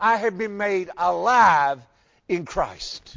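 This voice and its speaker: This man speaks with a high pitch and lively intonation. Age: 60s. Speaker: pastor. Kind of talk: sermon. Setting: church.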